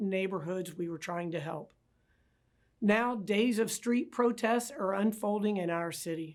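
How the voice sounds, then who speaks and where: In a plain, everyday voice, a woman talks at medium pitch with ordinary pitch variation. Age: 60s. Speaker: city mayor, former police chief. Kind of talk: prepared public address. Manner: formal.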